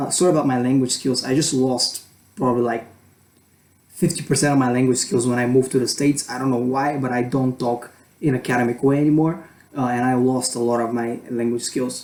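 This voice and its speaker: Speaking at a fairly quick pace with a non-native accent, a man keeps his intonation fairly even. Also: medium pitch for a man. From Europe. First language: not English. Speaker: student vlogger. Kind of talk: casual vlog advice. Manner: halting, many fillers. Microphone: poor camera quality.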